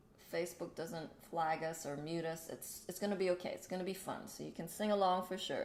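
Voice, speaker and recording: Audible room echo surrounds a woman speaking at a moderate pace in a medium pitch with ordinary variation. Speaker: spiritual livestream host. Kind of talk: casual spiritual livestream chat.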